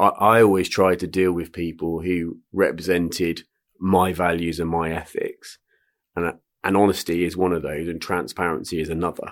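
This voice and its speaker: Recorded very cleanly against a silent background, a man with a West Country accent talks at a moderate pace in a very deep, low, monotone voice with flat intonation. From Swindon, Wiltshire, England. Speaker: retired entrepreneur and investor. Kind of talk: casual interview. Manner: hesitant with fillers.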